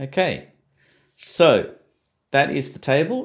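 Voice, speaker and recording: The recording is very clean, and the background is silent. In it, a man talks with an Australian accent. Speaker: science teacher. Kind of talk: tutorial. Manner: hesitant, many fillers.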